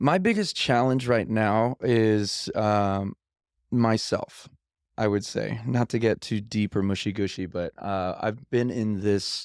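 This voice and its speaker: Very slow man with an American accent, fairly low pitch and ordinary pitch variation, dry and close with no echo, in a very clean recording with a silent background. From Los Angeles, US. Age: 30s. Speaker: pianist. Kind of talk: casual chat.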